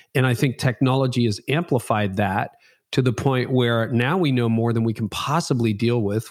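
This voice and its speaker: In a very clean recording with a silent background, a man with a medium pitch speaks in a plain, everyday voice at a moderate pace with fairly even intonation. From Canada. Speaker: pastor and podcaster. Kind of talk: interview. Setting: home basement.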